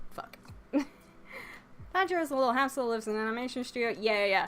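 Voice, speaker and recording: Speaking quietly, a woman uses lively intonation. Her pitch is fairly high. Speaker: anime YouTuber. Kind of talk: casual chat. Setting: live stream. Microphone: too quiet, told to get closer to mic.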